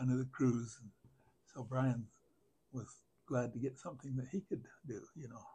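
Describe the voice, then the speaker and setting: At a moderate pace, a man speaks in a dark, mellow, somewhat breathy tone with fairly even intonation, big swings in loudness, and long, frequent pauses. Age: 80s+. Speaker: farmer. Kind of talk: interview answer. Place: home room. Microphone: lapel.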